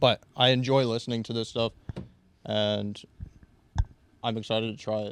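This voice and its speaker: This man talks in a medium pitch with a monotone, flat intonation. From Tennessee. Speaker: roundnet player. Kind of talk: casual chat.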